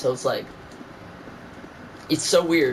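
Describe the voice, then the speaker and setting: At a moderate pace, a man with a slight New York accent speaks in a high pitch over noticeable background noise. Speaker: gamer streamer. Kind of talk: casual chat.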